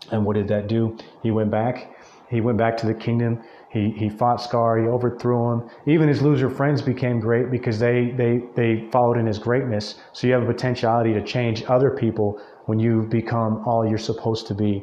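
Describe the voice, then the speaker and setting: A man's fairly quick, monotone delivery at medium pitch, flat in intonation and very even in loudness. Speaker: podcast host. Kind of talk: solo motivational monologue. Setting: speaking into a mic alone. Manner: halting, many repetitions; extemporaneous, off the cuff.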